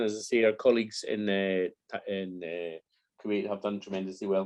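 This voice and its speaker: A man with a Glaswegian accent speaks at a moderate pace. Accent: Glaswegian Scottish. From Scotland, Glasgow. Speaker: conference moderator. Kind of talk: event moderation.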